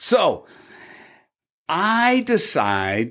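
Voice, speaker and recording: A man speaks with an American accent in a very clean recording with a silent background. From US Pacific Northwest, Tacoma. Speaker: cybersecurity evangelist. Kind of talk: casual chat.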